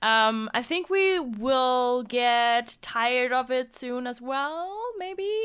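A woman's high, lively voice with a German accent at a very slow pace. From Germany, Cologne. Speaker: video game streamer. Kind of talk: casual chat.

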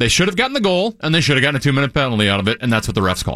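A man's bright, sharp tone carries vocal fry. His pitch swings very widely. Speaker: sports radio host. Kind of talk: casual chat about hockey.

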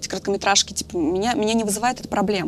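A woman at a medium pitch speaks with ordinary pitch variation against noticeable background noise. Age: 30s. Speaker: film director and screenwriter. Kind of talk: casual chat.

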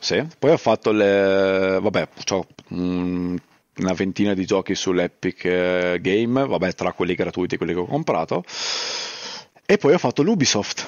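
Fairly slow pace with ordinary pitch variation. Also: man, very deep, low pitch for a man. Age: 30s. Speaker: YouTuber and streamer. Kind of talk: casual chat.

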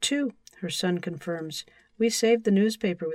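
Someone reads aloud plainly. Pitch shifts by an ordinary amount.

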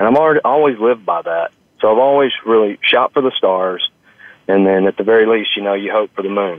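In a plain, everyday voice, the speech moves at a fairly quick pace with ordinary pitch variation. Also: man, medium pitch for a man. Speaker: restaurant chain executive. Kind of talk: interview. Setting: on location at a restaurant.

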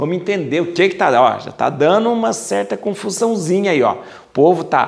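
At a fairly quick pace, a man with a plain, everyday voice speaks with lively intonation. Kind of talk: bible study lecture. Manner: casual, repetitive with fillers.

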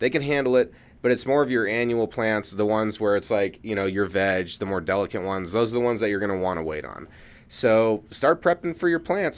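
A man with a normal speaking voice, fairly low pitch, lively intonation and fairly quick pace, in a very clean recording with a silent background. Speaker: podcast co-host. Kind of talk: casual comedic podcast banter.

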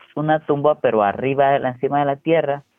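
A man's voice at medium pitch and a moderate pace. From Honduras, raised in the US. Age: 30s. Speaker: prisoner and YouTuber. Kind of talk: interview testimony. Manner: halting, with repetitions.

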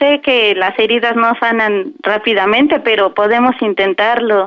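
The delivery is fairly slow, with very even loudness and hardly any pauses. Noticeable background noise runs underneath. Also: woman. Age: 20s. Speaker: caller. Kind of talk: prank phone call.

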